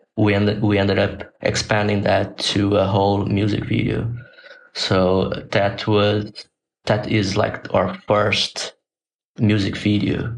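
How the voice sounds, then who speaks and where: Very slow, monotone delivery from a man with a Portuguese accent, fairly low in pitch, his loudness very even throughout. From Brazil. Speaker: designer and animator. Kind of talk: casual interview. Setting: video call. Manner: halting, with repetitions.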